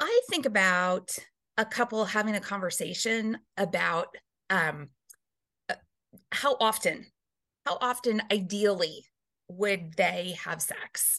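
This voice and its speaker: A woman talks at a very slow pace, leaving long, frequent pauses. Her tone is bright and sharp, at medium pitch with ordinary variation. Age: 40s. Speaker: reverend and relationship guest. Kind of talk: casual chat.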